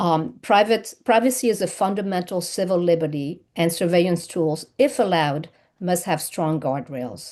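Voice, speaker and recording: A woman with a slight French accent, fairly low pitch and lively intonation at a moderate pace, against a quiet background. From France. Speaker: lawyer testifying at public hearing. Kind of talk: public testimony. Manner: hesitant, many fillers. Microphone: unstable connection.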